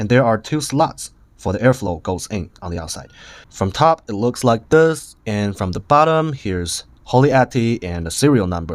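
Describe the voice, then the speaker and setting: A man's medium-pitched voice with very wide pitch swings, in a Chinese accent. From China. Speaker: vape reviewer. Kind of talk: product review.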